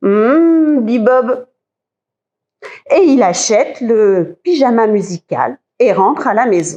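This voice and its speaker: At a very slow pace with long, frequent pauses, a woman speaks at a high pitch with lively intonation and very even loudness. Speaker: librarian. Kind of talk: children's story reading.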